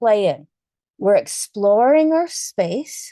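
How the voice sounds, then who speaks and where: In a dry, close recording with no echo, a woman speaks at high pitch with a dark, mellow tone and very wide pitch swings. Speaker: yoga instructor. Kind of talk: guided yoga class instruction.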